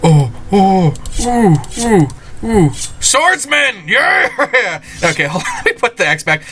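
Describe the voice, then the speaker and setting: A man's high, raised and projected voice with very wide pitch swings, over noticeable background noise. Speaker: gaming video creator. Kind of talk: let's play commentary.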